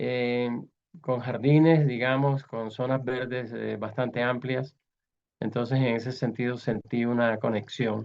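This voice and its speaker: The delivery is fairly slow. Intonation stays monotone and flat. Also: man, medium pitch for a man. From Colombia, Barranquilla (Caribbean coast). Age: 80s+. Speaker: writer and art critic. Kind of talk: interview.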